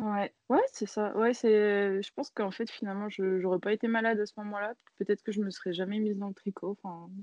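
Monotone and flat, a woman of medium pitch talks at a fairly quick pace. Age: 30s. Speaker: knitting designer. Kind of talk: interview.

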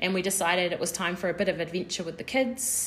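Speaking at a fairly quick pace, a woman with a New Zealand accent uses a medium pitch. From New Zealand, Porirua near Wellington. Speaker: podcast co-host. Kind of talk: casual chat.

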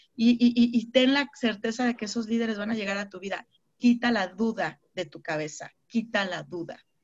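Against a quiet background, a woman speaks at a moderate pace in a fairly high, somewhat breathy voice. Her pitch varies in an ordinary way, while her loudness swings widely. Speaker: network marketing team leader. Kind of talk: online mentoring session. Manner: animated.

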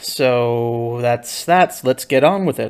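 The background is completely silent and the recording very clean. The speaker is a man. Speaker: writing podcast host, ghostwriter. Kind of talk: solo journal monologue. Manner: fast.

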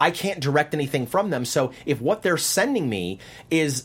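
Speaking in an American accent at a moderate pace, a man uses a fairly high, somewhat breathy voice with lively intonation. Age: 50s. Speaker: casting director. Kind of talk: interview. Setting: studio.

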